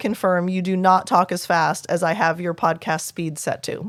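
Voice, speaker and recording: A woman with a normal speaking voice talks at medium pitch and a moderate pace. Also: very clean recording, silent background. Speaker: play therapist and podcast host. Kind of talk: solo podcast advice episode.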